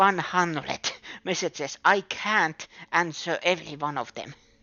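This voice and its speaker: A woman with a non-native accent speaks at a moderate pace. Her pitch is fairly low and varies in an ordinary way. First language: not English. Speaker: game streamer. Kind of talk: casual live-stream chat. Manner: halting.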